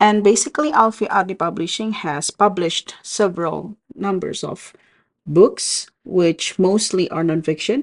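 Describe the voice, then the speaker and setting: A woman speaks at a medium pitch with an Indonesian accent and ordinary pitch variation. The sound is dry and close, with no echo. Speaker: book vlogger. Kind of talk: casual book review vlog.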